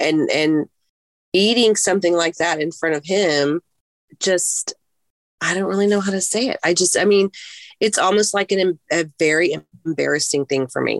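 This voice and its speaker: A woman's fairly low voice with ordinary pitch variation, moderate pace and long, frequent pauses, dry and close with no echo. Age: 50s. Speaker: coaching client. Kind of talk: personal testimony in coaching session.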